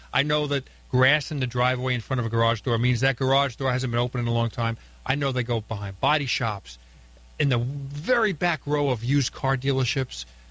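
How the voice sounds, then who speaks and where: A man in an ordinary speaking voice talks at a fairly quick pace, his medium pitch and fairly even intonation matched by very even loudness. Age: 60s. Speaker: car collector and author. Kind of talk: radio interview. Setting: radio studio.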